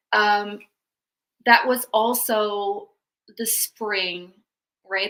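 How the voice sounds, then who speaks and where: Bright and sharp in tone, a woman with a Dutch accent speaks at a medium pitch with fairly even intonation. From Netherlands. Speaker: women's wealth coach. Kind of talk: interview podcast.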